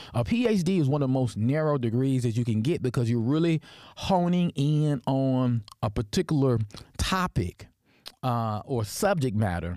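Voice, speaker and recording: On a very clean recording with a silent background, a man with a Deep Southern US accent speaks at a moderate pace in a dark, mellow tone, with lively intonation and very even loudness. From US South (Tennessee). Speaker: history professor and podcast host. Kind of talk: personal storytelling monologue. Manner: halting, many fillers and restarts.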